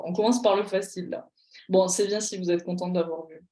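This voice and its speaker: A woman speaks with a dark, mellow tone. Her pace is fairly quick. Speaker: pharmacy exam tutor. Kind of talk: online tutorial. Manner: animated.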